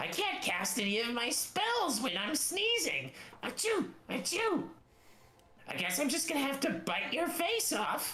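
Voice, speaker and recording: A man puts on a character voice pitched extremely high, swinging his pitch very widely at a fairly slow pace. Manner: comic, threatening.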